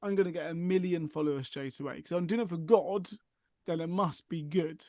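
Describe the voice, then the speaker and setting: A dark, mellow tone with an English accent, fairly quick and fairly even in intonation. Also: man, high pitch for a man. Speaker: mental health charity worker. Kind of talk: casual chat.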